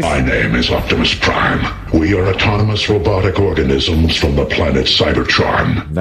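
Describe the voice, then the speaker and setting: A man puts on a character voice at a moderate pace, with hardly any pauses, over loud background noise. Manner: commanding.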